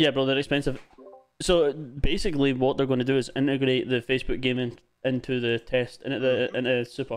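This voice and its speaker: With music in the background, a man of medium pitch speaks in a Scottish accent at a fairly quick pace, his intonation fairly even. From Scotland. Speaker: gaming livestreamer. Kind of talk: casual chat while gaming. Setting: online voice chat on a livestream.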